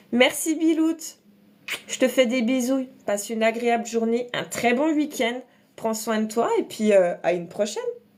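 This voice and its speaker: Against noticeable background noise, a woman speaks in a high pitch at a fairly slow pace with lively intonation. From eastern France, Alsace and Franche-Comté. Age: 30s. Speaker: makeup content creator. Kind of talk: casual livestream chat and makeup tutorial.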